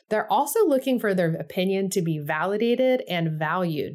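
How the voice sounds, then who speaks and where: A woman speaks in a normal speaking voice at a medium pitch. Her intonation is lively, and the recording is very clean with a silent background. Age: 40s. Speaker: church consultant and guide creator. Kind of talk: instructional tutorial with example interview.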